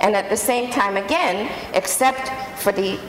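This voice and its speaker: A woman speaks with a Canadian accent and ordinary pitch variation. Audible room echo and noticeable background noise are present. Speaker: human rights expert. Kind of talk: panel talk.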